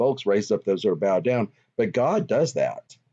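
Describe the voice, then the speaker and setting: A man at medium pitch, speaking at a moderate pace. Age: 50s. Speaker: social worker and podcast co-host. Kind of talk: casual faith discussion. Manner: halting, many fillers.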